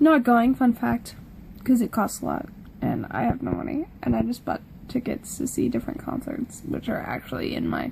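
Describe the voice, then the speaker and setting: Mumbling at a moderate pace comes through over noticeable background noise. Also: woman. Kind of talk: casual talk to camera. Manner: rambling, casual.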